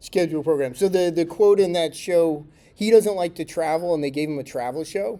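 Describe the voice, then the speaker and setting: A man with an American accent speaks at a fairly high pitch in a dark, mellow tone with ordinary pitch variation. The recording is very clean, with a silent background. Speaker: tech conference speaker. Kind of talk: conference talk. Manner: casual, conversational with fillers.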